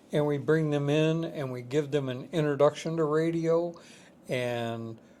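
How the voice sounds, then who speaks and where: This man talks at a fairly slow pace with fairly even intonation and a fairly high pitch. Room echo is audible. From northern New York. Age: 70s. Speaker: museum curator. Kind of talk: casual interview chat.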